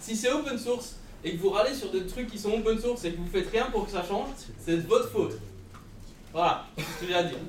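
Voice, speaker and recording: A man's high-pitched, animated voice at a fairly quick pace, with ordinary pitch variation, long, frequent pauses, audible room echo and noticeable background noise. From Belgium. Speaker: podcast host. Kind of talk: live podcast recording on stage. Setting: stage with audience.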